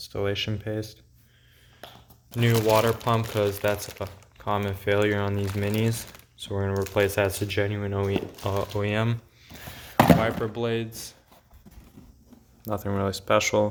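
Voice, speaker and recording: Long, frequent pauses break up speech at a moderate pace, with noticeable background noise throughout. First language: not English. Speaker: car hobbyist vlogger. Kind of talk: casual parts haul vlog. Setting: home garage. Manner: hesitant, many fillers.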